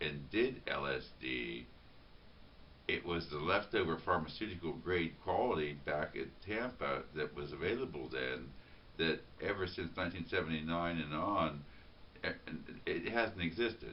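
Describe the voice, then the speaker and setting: Here a man speaks with a very deep, low pitch and vocal fry at a moderate pace. His intonation is lively, with long, frequent pauses. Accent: American. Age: 50s. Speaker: vlogger. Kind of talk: spontaneous monologue. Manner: halting, many repetitions and fillers.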